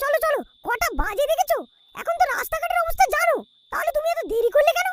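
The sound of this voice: This cartoonish character voice sits at an extremely high pitch, swinging very widely in pitch at a fairly quick pace.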